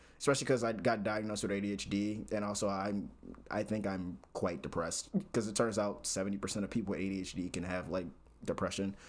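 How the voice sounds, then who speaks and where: Fairly even intonation runs through speech delivered at a very fast pace. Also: man, fairly low pitch for a man. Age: 20s. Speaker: recent computer science graduate. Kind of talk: casual talk to camera.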